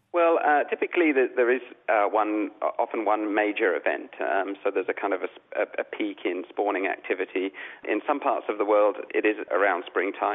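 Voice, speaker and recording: A man talks at a moderate pace. His loudness stays very even. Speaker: coral reef scientist. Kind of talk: interview.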